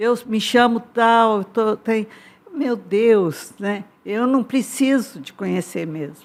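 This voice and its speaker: Speaking at a very slow pace, a woman uses fairly high pitch with ordinary pitch variation and big swings in loudness. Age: 80s+. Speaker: church intercessor, elderly congregant. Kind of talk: testimony.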